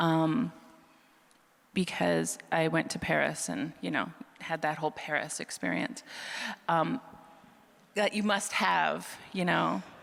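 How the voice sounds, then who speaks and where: A woman at a fairly slow pace with long, frequent pauses. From Manitoba, Canada (Franco-Manitoban Métis). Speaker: author. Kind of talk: live panel discussion. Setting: stage with live audience. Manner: halting, many restarts.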